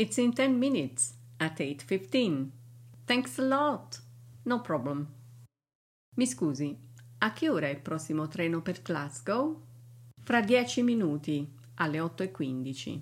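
A woman speaks at a very slow pace, with long, frequent pauses and a somewhat breathy sound. Her voice is very deep and low, swinging very widely in pitch, on a very clean recording with a silent background. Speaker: English teacher. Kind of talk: language lesson.

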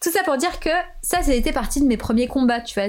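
A woman speaks at a fairly quick pace in an animated tone, her pitch swinging very widely. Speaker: podcaster. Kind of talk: casual chat.

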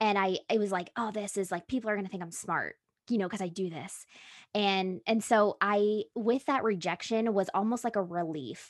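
A woman's unremarkable speaking voice at a medium pitch, with ordinary pitch variation and a moderate pace, in a very clean recording with a silent background and a dry, close sound with no echo. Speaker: podcast manager. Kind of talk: casual chat.

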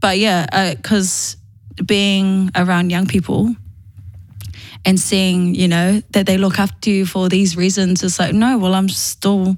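At a fairly slow pace, a woman speaks somewhat breathily at medium pitch with fairly even intonation. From New Zealand, Manurewa (South Auckland), Māori. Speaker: youth organisation CEO. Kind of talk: casual interview.

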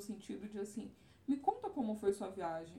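This woman has a fairly high pitch and sounds somewhat breathy. She keeps a moderate pace. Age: 30s. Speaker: travel influencer. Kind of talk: casual chat.

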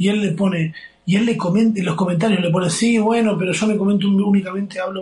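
With a Rioplatense accent, a man talks at a very fast pace in a high pitch. His intonation stays fairly even, and noticeable background noise runs underneath. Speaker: podcast host. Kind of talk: casual chat. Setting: friend's kitchen abroad.

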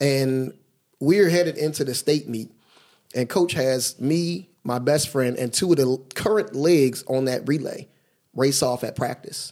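An unremarkable speaking voice from a man with an American accent, fairly high pitch, ordinary pitch variation and a fairly slow pace. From Philadelphia and New Jersey, US. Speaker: track coach. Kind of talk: casual chat.

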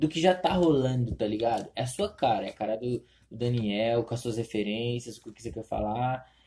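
In an unremarkable speaking voice, a man talks at a medium pitch and a moderate pace, his loudness swinging widely while his pitch varies in an ordinary way. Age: 20s. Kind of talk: casual chat.

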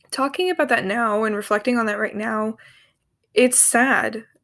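A normal speaking voice on a very clean recording with a silent background. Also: woman. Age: 20s. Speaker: podcast host. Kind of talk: personal monologue.

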